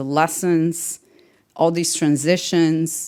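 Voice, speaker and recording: A woman with a Portuguese accent speaks in a very deep, low pitch and a monotone, flat intonation, in a very clean recording with a silent background. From Brazil. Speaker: tech manager. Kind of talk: panel interview.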